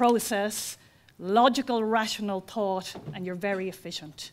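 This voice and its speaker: A woman with an Irish accent talks at a fairly slow pace, her fairly high voice carrying ordinary pitch variation. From Ireland. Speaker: college founder. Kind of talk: ceremony speech. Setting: auditorium with audience.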